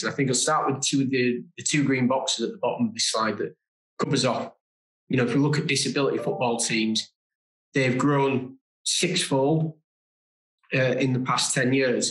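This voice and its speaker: A man with a British accent talks at a moderate pace and medium pitch, with audible room echo over a quiet background. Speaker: diversity and inclusion manager. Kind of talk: webinar presentation. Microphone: webcam.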